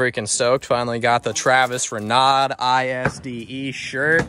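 A man with monotone, flat intonation, light background noise and a dry sound with no echo. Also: fairly slow pace. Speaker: vlogger. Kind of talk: casual vlog chat. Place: street. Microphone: phone near.

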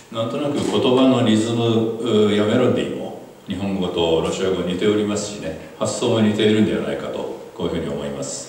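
With strong room echo and light background noise, a man speaks at a fairly quick pace, his fairly low pitch showing ordinary variation. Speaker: visiting writer lecturing. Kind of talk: lecture. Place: hall.

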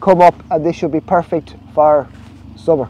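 With an Irish accent, a man speaks at a moderate pace in a high pitch and a dark, mellow tone. The sound is dry, with no echo. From Ireland. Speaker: snail farmer. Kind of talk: vlog narration. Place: farm machine. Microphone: phone near.

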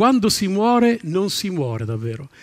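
A man talks in a high pitch. The background stays quiet. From northern Italy, Salò on Lake Garda (Lombardy); Lombardy, Italy. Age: 50s. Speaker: stand-up comedian. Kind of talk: stand-up. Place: stage. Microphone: headset.

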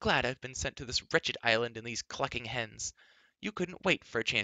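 Reading aloud in a natural voice with lively intonation

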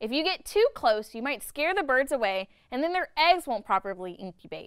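Raised and projected, a woman's high, bright, sharp voice carries an enthusiastic, upbeat tone, swinging very widely in pitch at a moderate pace. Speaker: educational video host. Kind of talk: nature documentary narration. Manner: upbeat, bright, child-friendly and playful; clear, enthusiastic, with a teacherly tone.

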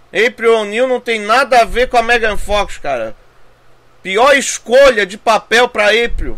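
This man's voice sits extremely high in pitch, moving at a fairly slow pace with ordinary pitch variation. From Brazil. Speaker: gaming YouTuber. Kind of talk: trailer reaction. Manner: animated. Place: home room.

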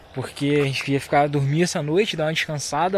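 Over light background noise, a man speaks at a fairly quick pace with fairly even intonation in a dry sound with no echo. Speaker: travel vlogger. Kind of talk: casual vlog chat. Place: forest. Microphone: phone near.

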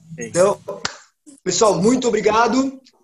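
Speaking at a moderate pace with fairly even intonation, a man with a Brazilian accent has a high voice for a man. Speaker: martial arts instructor. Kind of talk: online class instruction. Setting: video call. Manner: halting in English. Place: empty room. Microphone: webcam.

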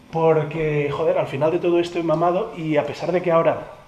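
A man speaks in an animated tone at a moderate pace. Room echo is audible, along with light background noise. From Catalonia, Spain. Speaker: youtuber and former radio host; youtuber, former radio host. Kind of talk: casual vlog. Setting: radio museum, Ponferrada. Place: hall. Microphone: phone near.

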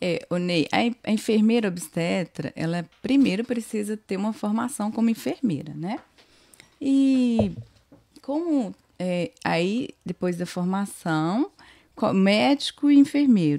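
Against a quiet background, a woman with a dark, mellow tone speaks at a fairly slow pace with very wide pitch swings. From Bahia born, raised in Minas Gerais, Brazil. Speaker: obstetric nurse. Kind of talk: casual interview. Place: studio. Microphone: studio mic.

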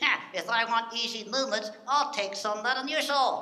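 A man puts on a character voice with an extremely high pitch. He keeps a moderate pace over clear background noise. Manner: grumpy, sarcastic.

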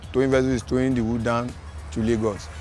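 A man at a fairly quick pace with ordinary pitch variation, in dry sound with no echo and faint music in the background. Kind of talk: interview answer. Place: waterside. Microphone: lapel.

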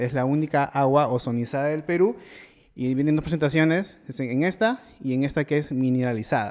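A man talks at a moderate pace with a fairly high pitch. It is a plain, everyday voice. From Peru. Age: 30s. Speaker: podcast host. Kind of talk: casual chat; sponsor read. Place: studio. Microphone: studio mic.

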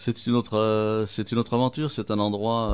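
With a fairly low pitch, a man delivers his words at a moderate pace. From southern France. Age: 50s. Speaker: restaurateur and author, former mayor. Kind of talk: radio interview. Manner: halting, repeats words.

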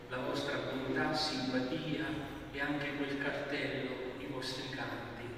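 A man at a fairly slow pace, with strong room echo and noticeable background noise. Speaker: bishop preaching at mass. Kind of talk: sermon. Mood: warm, grateful, commemorative. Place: church. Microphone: camera far.

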